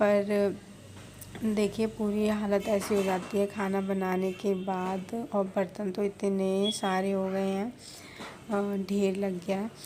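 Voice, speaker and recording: Her medium-pitched voice, a woman's, holds a monotone, flat intonation. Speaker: family vlogger. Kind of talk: casual vlog narration. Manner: slow; soft-spoken.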